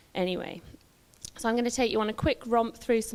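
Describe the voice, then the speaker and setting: This woman speaks with a West Midlands accent. Her intonation is fairly even. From West Midlands, England. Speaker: visual artist. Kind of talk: public talk, partly read from notes. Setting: talk to a live audience with handheld microphone.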